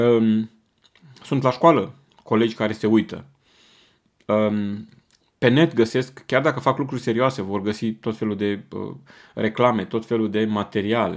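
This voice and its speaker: This very clean recording, with a silent background, features a man at medium pitch with ordinary pitch variation. He talks fairly slowly and leaves long, frequent pauses. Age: 40s. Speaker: parenting podcast host. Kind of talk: monologue talk.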